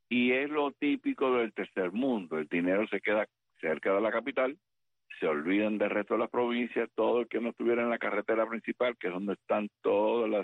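A man with a fairly low pitch, moderate pace, an ordinary speaking voice and ordinary pitch variation. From Cuba. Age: 60s. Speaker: retired US Army colonel, military analyst. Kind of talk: interview.

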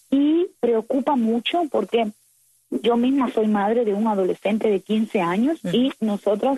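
Somewhat breathy and fairly high in pitch, a woman speaks in a dark, mellow tone with a dry, close sound and no echo. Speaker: activist. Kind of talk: interview.

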